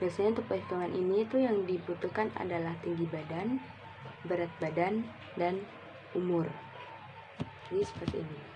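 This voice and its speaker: Against noticeable background noise, a woman with a fairly low pitch talks at a fairly quick pace, with ordinary pitch variation and long, frequent pauses. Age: 20s. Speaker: university student. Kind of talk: recorded class assignment presentation. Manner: explanatory, with filler words and self-corrections.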